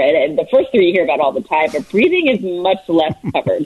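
An ordinary speaking voice with an American accent carries lively intonation. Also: woman. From New Jersey. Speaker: sports reporter. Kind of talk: interview.

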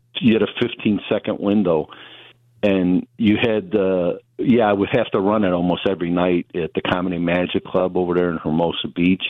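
A man's very deep, low voice in a Chicago accent, at a moderate pace with fairly even intonation. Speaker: comedian. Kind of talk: casual chat.

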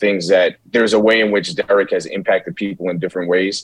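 Heard with a dry, close sound and no echo, a man with an American accent speaks at a fairly quick pace. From New York City, the Bronx. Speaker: film director. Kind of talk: interview.

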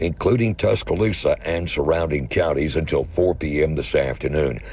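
With noticeable background noise behind him, a man speaks at a very deep, low pitch with lively intonation. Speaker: radio news and weather reader. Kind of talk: news reading.

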